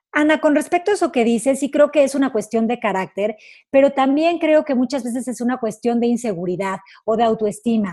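A woman speaks at a high pitch and a fairly quick pace, her intonation lively and her tone dark and mellow. The recording is very clean with a silent background. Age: 30s. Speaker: radio host and life coach. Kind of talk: casual chat. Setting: radio studio.

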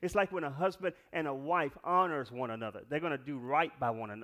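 Bright and sharp in tone, a man speaks in an animated way with lively intonation. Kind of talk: sermon. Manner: animated, emphatic pulpit delivery with repetition and call-and-response prompts; urgent, exhorting, building point by point to the congregation.

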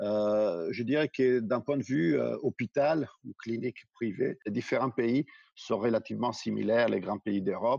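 This man's pitch sits in the medium range and varies in an ordinary way. He speaks fairly slowly. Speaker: healthcare business executive. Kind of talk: interview.

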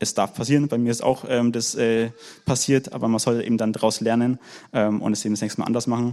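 A man talks at a very fast pace in a medium-pitched voice. His tone is dark and mellow, and his intonation stays monotone and flat. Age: 20s. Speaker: work educator, church member. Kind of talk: panel talk, personal sharing.

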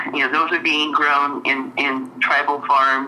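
Noticeable background noise surrounds a woman with an American accent. Her voice is very deep and low, and she talks at a moderate pace. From Central California coast. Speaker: journalist. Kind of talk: interview. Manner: halting, repeats words.

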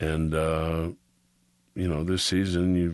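Against a quiet background, a man with a Chicago accent speaks in a very deep, low pitch with fairly even intonation. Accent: Chicago American. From US Midwest, Chicago. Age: 50s. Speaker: podcast co-host, artist and actor. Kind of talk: casual chat.

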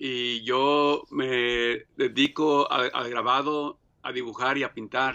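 A man talks at a very slow pace in a medium pitch. His intonation is monotone and flat. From Mexico (Michoacán), raised in US from age 7. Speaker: printmaker and painter. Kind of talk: interview. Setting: studio. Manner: halting, many fillers.

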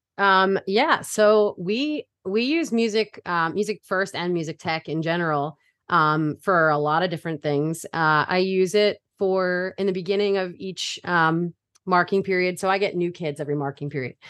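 Speaking in an American accent, a woman uses a normal speaking voice at medium pitch, with ordinary pitch variation and a moderate pace. The background is quiet, and the sound is dry and close with no echo. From Brooklyn, New York, then Delaware from age eleven. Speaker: middle school music teacher and choral director. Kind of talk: casual interview.

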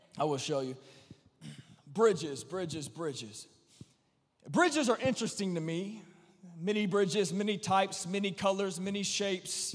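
Audible room echo surrounds a man speaking at a high pitch and a moderate pace, his intonation lively and marked by long, frequent pauses. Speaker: preacher. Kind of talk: sermon. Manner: repetitive, emphatic; animated.

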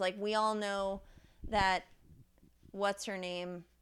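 A woman speaks loudly at a fairly slow pace, her tone bright and sharp. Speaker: podcast co-host. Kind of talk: casual chat. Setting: studio. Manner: animated.

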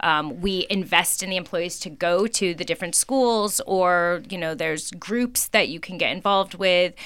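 With an American accent and a medium pitch, a woman talks at a moderate pace with ordinary pitch variation and hardly any pauses, on a very clean recording with a silent background. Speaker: auto dealership group president. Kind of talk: interview. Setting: radio studio.

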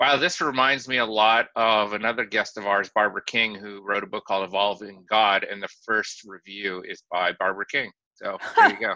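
A man's fairly low, bright and sharp voice at a moderate pace, with fairly even intonation, a dry, close sound with no echo, and a quiet background. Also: hardly any pauses. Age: 40s. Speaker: podcast co-host, anthropology professor. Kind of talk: casual chat.

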